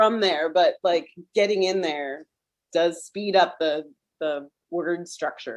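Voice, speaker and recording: With a Philadelphia accent, a woman speaks very slowly at a fairly low pitch, with fairly even intonation and long, frequent pauses. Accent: Philadelphia American. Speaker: gallery coordinator and art teacher. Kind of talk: Q&A moderation.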